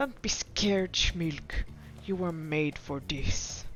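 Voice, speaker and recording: Putting on a character voice, a woman speaks very slowly in a fairly low pitch, with clear background noise around her. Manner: eerie, reassuring.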